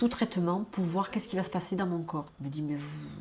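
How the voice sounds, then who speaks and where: Somewhat breathy in tone, the voice shows ordinary pitch variation. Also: woman. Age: 60s. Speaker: retired nurse, cancer patient. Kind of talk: documentary testimony. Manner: halting, with many repetitions and hesitations.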